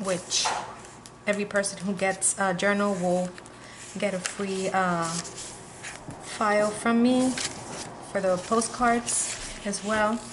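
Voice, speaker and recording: Amid noticeable background noise and audible room echo, a woman of medium pitch speaks very slowly in a flat monotone, with long, frequent pauses. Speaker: crafter selling handmade journals. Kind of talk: product flip-through video. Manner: casual with fillers.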